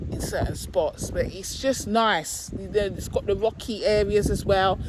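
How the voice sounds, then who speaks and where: Moderately paced talking with noticeable background noise behind it. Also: woman. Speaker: vlogger. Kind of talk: casual vlog talk. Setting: outdoors on a beach.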